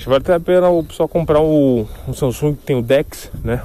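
A man is talking. The tone of his voice is dark and mellow. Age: 20s. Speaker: podcaster. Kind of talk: solo casual monologue. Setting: walking outdoors.

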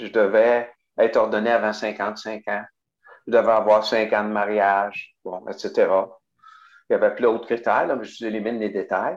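The man talks at a moderate pace, pausing long and often. His loudness swings widely. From Quebec, Bas-Saint-Laurent. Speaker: parish pastoral worker and deacon. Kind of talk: interview.

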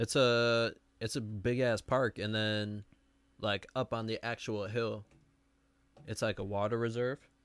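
In a very clean recording with a silent background, a man speaks fairly slowly at medium pitch, monotone and flat, with long, frequent pauses. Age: 20s. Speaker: podcast co-host. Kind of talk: casual chat.

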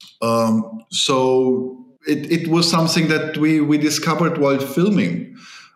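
A man's fairly high, fairly slow voice with ordinary pitch variation, very even loudness and hardly any pauses, over noticeable background noise. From Germany. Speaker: film director. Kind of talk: interview.

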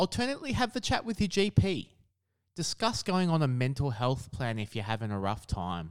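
On a very clean recording with a silent background, a man speaks at a moderate pace in an Australian accent. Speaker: podcast host. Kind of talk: scripted narration.

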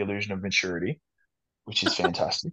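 A man with an Australian accent talks at a fairly quick pace with lively intonation. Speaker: fitness model and personal trainer. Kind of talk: casual chat. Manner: animated.

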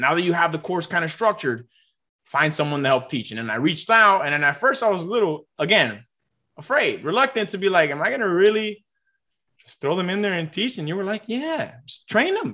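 In a raised, projected voice, a man with high pitch talks at a fairly quick pace in a bright, sharp tone, with very wide pitch swings and big swings in loudness. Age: 20s. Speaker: math tutor and tutoring business owner. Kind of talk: interview.

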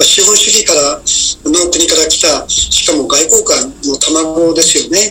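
The delivery is fairly slow, with noticeable noise in the background. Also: man. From Japan, Oita. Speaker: retired diplomat. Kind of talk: radio interview.

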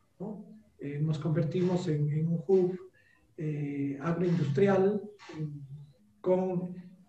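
A man speaks in a high pitch for a man, with fairly even intonation. Audible room echo surrounds the voice. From Peru, Cajamarca highlands (Celendín). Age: 40s. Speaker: economist and educator. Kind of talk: interview. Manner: hesitant, frequent fillers.

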